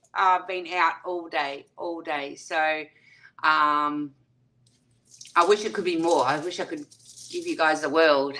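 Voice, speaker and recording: Her tone is bright and sharp, and this woman speaks with an Australian accent at a fairly low pitch. She goes at a fairly slow pace with long, frequent pauses and big swings in loudness. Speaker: YouTube livestreamer; livestream host. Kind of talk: livestream chat with viewers; casual livestream chat. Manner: animated. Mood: warm, cheerful. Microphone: webcam.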